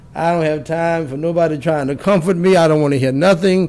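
A man with fairly even intonation. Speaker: preacher. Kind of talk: sermon. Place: studio. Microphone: studio mic.

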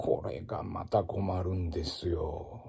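With a Kansai accent and a very deep, low pitch, a man speaks in a dark, mellow, relaxed and somewhat breathy tone against a quiet background. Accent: Kansai Japanese. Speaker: ocarina player and former music teacher; former music teacher. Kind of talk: casual spoken blog monologue. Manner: relaxed, conversational with many fillers. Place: home room. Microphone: phone near.

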